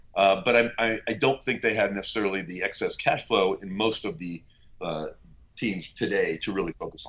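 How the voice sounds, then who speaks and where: A man with an American accent talks in an unremarkable speaking voice, fairly low in pitch, at a moderate pace with ordinary pitch variation. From US West Coast (Bay Area). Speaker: venture capitalist. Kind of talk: interview.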